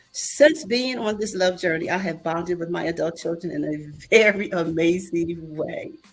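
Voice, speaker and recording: A woman speaks at a moderate pace with hardly any pauses and a fairly low pitch. Music plays in the background, and her pitch varies in an ordinary way. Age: 70s. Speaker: mental health speaker and author. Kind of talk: reading aloud a personal testimony.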